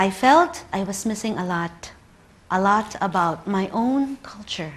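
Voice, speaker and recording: Speech comes at a fairly slow pace in a Filipino accent. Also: woman. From Philippines. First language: Tagalog. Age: 30s. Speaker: librarian. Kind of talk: conference talk.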